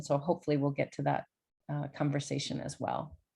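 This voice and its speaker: With an American accent, a woman talks at a fairly quick pace. The background is quiet. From US Midwest, Chicago. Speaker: poet and academic. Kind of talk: online talk. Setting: video call. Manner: halting.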